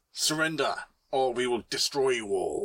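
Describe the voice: A put-on character voice is used here. It moves at a moderate pace. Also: man, medium pitch for a man.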